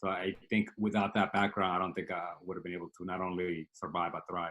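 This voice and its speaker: Very deep and low yet bright and sharp in tone, a man with a Spanish accent speaks fairly quickly in a monotone, flat way on a very clean recording with a silent background. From Dominican Republic, then South Bronx from age 12. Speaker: startup CEO. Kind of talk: interview. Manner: hesitant with fillers.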